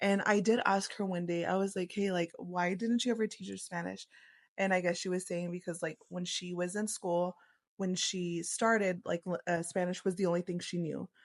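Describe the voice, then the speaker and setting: With an American accent, a woman talks at a moderate pace and a medium pitch in a monotone, flat intonation. The sound is dry and close with no echo, over a quiet background. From Texas, Lubbock. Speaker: podcast co-host. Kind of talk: casual chat.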